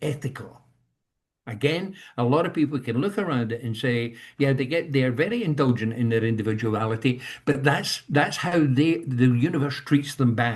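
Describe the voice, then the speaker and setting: Somewhat breathy, a man talks at a moderate pace. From Scotland. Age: 70s. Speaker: leadership coach, industrial psychologist. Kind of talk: talk on leadership. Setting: video call.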